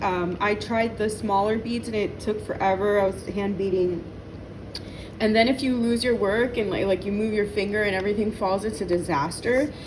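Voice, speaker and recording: A woman with a fairly high voice talks at a moderate pace, with noticeable background noise and an audible echo in the room. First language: not English. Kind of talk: tutorial. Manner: halting.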